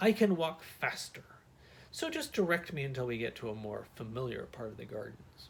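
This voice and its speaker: This put-on character voice sits at a low-to-middle pitch and sounds shaky. The pace is moderate. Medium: read story. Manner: anxious, quavering.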